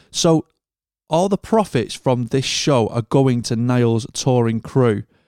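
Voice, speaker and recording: A man with a British accent speaks at a fairly slow pace in a dark, mellow tone with ordinary pitch variation. The recording is very clean, with a silent background. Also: dry, close sound with no echo. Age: 30s. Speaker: podcast host and monitor engineer. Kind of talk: scripted show intro; casual interview chat.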